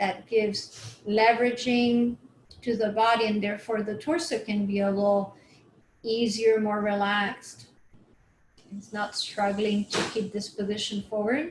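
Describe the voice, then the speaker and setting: A woman's fairly high voice with a non-native accent, a calm tone, fairly even intonation and a fairly slow pace. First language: not English. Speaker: movement and chair yoga instructor. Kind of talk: guided exercise class. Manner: calm, instructional.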